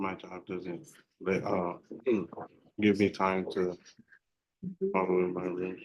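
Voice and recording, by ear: A man's put-on character voice, very deep and low, mumbling at a fairly slow pace in monotone, flat intonation, with long, frequent pauses.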